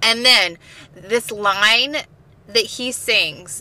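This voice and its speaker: A woman with a fairly high pitch speaks at a very slow pace over noticeable background noise. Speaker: comedy podcast co-host. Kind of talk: casual chat.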